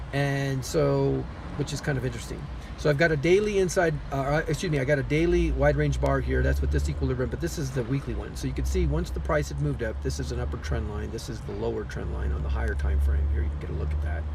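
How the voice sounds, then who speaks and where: A man rushes along at a very fast pace, with audible room echo and noticeable background noise. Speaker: crypto trading analyst. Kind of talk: chart analysis tutorial. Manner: casual, with many fillers and self-corrections.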